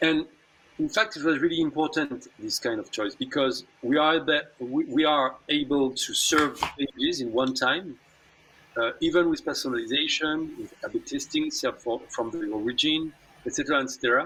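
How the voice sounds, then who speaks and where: A man speaks in a French accent. There is noticeable background noise. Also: moderate pace. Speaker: tech company executive. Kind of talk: online interview. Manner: halting.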